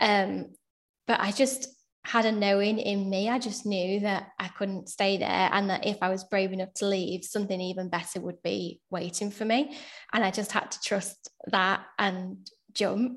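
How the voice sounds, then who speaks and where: In a Yorkshire accent, a woman speaks at a fairly slow pace and medium pitch with fairly even intonation over a quiet background. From Sheffield, England. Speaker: solicitor. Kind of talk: casual interview.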